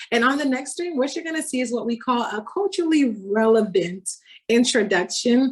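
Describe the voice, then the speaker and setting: A woman talks at a fairly quick pace with a Miami accent. Her voice is somewhat breathy. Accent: Miami American English. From Miami, Florida (Haitian family). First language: Haitian Creole. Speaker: doctoral researcher presenter. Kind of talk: academic presentation.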